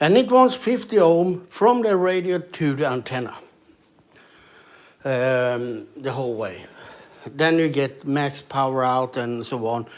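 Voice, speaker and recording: Speaking in a fairly high pitch, a man uses lively intonation and leaves long, frequent pauses. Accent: Swedish. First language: Swedish. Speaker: ham radio operator streamer. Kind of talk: casual live stream talk. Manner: halting, many fillers.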